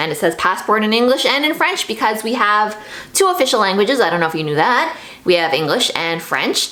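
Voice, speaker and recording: In a room with audible echo and noticeable background noise, a woman with a Canadian accent talks at a fairly quick pace in an animated tone, her fairly high pitch making very wide swings. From Canada, Toronto. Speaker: YouTuber. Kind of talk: casual vlog monologue. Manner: chatty, animated.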